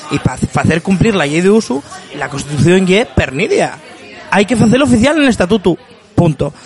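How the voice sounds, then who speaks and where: Over music in the background, a man with a high pitch talks at a fairly quick pace. His voice shows very wide pitch swings. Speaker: podcast host. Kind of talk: casual interview. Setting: bar.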